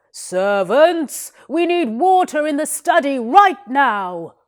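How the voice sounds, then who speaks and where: A put-on character voice shouting in a raised, projected way, with very wide pitch swings and a very slow pace, in a very clean recording with a silent background. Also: woman, high pitch for a woman. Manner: shouting, commanding.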